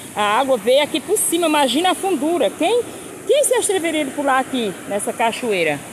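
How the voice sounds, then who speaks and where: Speech comes at a moderate pace, with noticeable background noise underneath. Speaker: rural video blogger. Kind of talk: casual vlog walkthrough. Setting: outdoors. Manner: animated.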